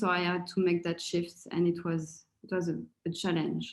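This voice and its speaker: This is a woman with a French accent. Her pitch is fairly low. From France. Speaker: coaching course participant. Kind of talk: testimonial. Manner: halting, with many fillers and repetitions.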